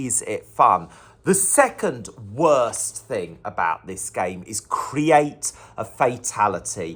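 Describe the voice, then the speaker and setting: Pitch swings very widely in an enthusiastic tone with vocal fry. The recording is very clean, with a silent background. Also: man. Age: 40s. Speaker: poet. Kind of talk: casual talk to camera.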